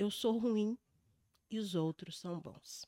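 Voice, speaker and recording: At a very slow pace, a woman talks at a medium pitch with ordinary pitch variation. The sound is dry and close with no echo. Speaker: podcast host and emotional therapist. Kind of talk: interview. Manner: reading from script.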